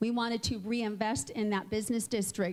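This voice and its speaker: A woman's plain, everyday voice, fairly high in pitch, at a fairly slow pace. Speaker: mayor. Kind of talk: public speech.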